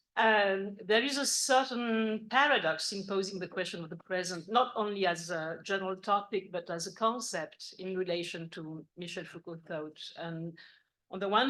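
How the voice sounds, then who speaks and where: This woman's medium-pitched voice swings widely in loudness and runs on with hardly any pauses. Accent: French. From France. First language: French. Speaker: philosophy professor. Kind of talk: academic lecture. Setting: university conference with audience. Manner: formal.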